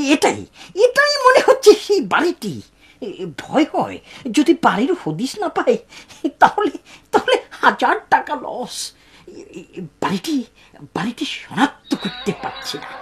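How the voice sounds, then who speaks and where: A put-on character voice, high-pitched, at a fairly slow pace. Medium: fan dub. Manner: hesitant, halting.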